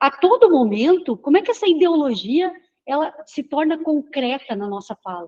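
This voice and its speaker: A woman with a high voice and a dark, mellow tone speaks at a fairly slow pace, with very wide pitch swings and big swings in loudness. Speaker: professor. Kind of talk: lecture. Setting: classroom with students. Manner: halting.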